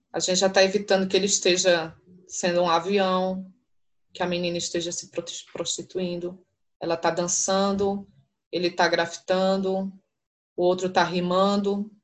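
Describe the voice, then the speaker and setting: A woman at medium pitch, flat and monotone, at a moderate pace with long, frequent pauses. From São Paulo. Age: 40s. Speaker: university professor. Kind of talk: interview.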